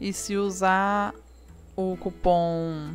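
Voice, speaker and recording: The intonation is fairly even. Faint music plays in the background. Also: woman. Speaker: craft instructor. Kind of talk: tutorial. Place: home room.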